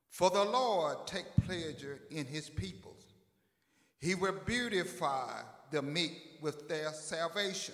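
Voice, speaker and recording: A man talks at a very slow pace with a high pitch. The background is quiet, with audible room echo. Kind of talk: church welcome and scripture reading. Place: church. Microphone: handheld.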